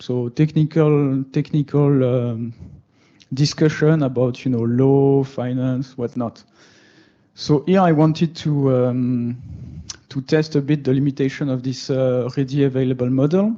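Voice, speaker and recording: A man with a French accent speaks slowly-ish, at a fairly slow pace and medium pitch, his dark, mellow tone carrying fairly even intonation. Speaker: meetup speaker on machine learning. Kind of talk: technical talk. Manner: hesitant, many fillers.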